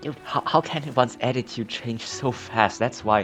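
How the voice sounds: With faint music behind him, a man talks at a moderate pace in a fairly bright tone, his pitch medium with ordinary variation.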